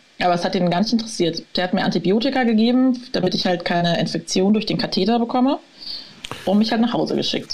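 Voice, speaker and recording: Over noticeable background noise, a woman talks at a very fast pace with very even loudness. Her pitch is fairly high, with ordinary pitch variation. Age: 30s. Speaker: author and patient with overactive bladder. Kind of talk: interview, personal story.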